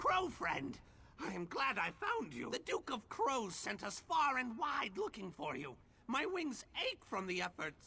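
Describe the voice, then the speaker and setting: Fairly high pitch in a put-on character voice, moderate in pace. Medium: machinima. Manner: repeats words, squawking echoes.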